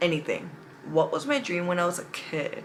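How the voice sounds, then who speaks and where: An animated woman with an American accent, over noticeable background noise. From California. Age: 20s. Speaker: beauty vlogger. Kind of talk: casual makeup tutorial chat.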